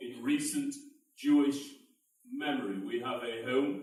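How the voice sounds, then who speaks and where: Very wide pitch swings from a male speaker, plus audible room echo. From United Kingdom. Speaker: advocacy organization leader. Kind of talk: closing speech. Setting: event with audience. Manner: formal.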